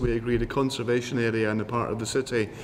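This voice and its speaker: A man speaks very fast in a Scottish accent, his intonation monotone and flat. Noticeable background noise runs underneath. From Scotland. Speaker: housing panelist, former councillor. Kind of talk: panel discussion.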